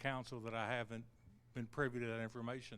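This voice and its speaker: A man speaks with a Kentucky accent. His pitch sits in the middle range. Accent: Kentucky Southern US. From Kentucky (Bardstown). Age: 50s. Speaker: city council candidate. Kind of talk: political debate. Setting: stage with live audience.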